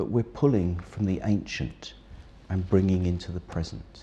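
Dark and mellow in tone, this man's voice carries a somewhat breathy quality. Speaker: mentor or organisation leader.

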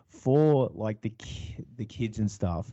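This man talks at a fairly slow pace. His intonation is lively. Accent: Australian. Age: 40s. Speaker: electronic musician and farmer. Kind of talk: casual interview chat.

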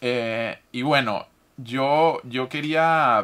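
A man speaks in a fairly high voice with fairly even intonation. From Venezuela. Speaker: podcast host. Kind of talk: interview.

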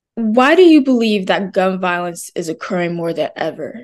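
A woman with a normal speaking voice talks at a medium pitch with lively intonation. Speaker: student interviewer. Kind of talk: interview, intro narration.

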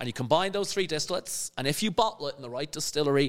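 This man talks with a Dublin accent. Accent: Irish (Dublin area). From Ireland, Skerries near Dublin. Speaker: spirits entrepreneur and educator. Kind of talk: casual chat.

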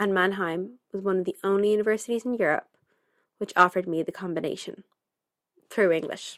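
A woman with a Dublin accent speaks fairly quickly at a medium pitch, her intonation fairly even, with long, frequent pauses. The recording is very clean, with a silent background. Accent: Dublin Irish. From Ireland, Dublin. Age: 20s. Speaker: podcast host. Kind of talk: scripted narration.

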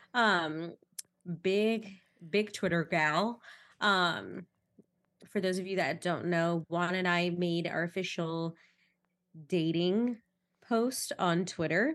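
Against a quiet background, the speaker goes at a very slow pace with long, frequent pauses and fairly even intonation. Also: woman, fairly low pitch for a woman. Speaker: podcast co-host. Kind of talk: casual chat. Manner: joking, playful.

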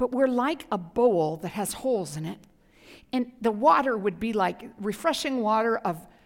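The speaker is reading aloud in a natural voice.

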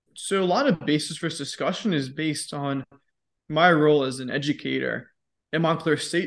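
A man with a plain, everyday voice, pitched fairly high for a man. His pitch moves in an ordinary way at a moderate pace over a quiet background. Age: 20s. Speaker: fitness educator and podcast host. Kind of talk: casual interview.

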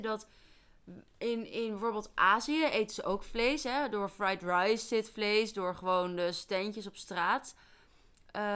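A woman's voice with ordinary pitch variation. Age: 20s. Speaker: forensic remedial educationalist. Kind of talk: casual chat.

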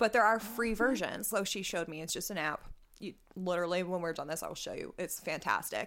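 Talking at a very fast pace, a woman with a medium-pitched voice is heard on a very clean recording with a silent background. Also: ordinary pitch variation. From Nova Scotia, Canada. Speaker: podcast host. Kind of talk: casual chat.

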